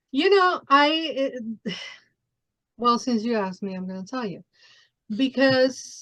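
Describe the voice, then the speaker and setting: With a Mexican accent, a woman speaks at a high pitch with lively intonation, big swings in loudness and long, frequent pauses against a quiet background. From Mexico City. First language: Spanish. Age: 40s. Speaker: podcast host. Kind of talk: interview.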